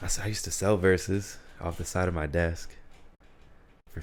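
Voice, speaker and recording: A man's very deep, low voice, somewhat breathy, with monotone, flat intonation at a moderate pace. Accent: American. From Utica, New York. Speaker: podcaster. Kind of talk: casual solo monologue.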